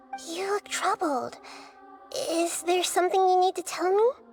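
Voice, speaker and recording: At a moderate pace, a female-sounding voice does a put-on character at an extremely high pitch, with clear music in the background. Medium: machinima. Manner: calm, thoughtful, measured.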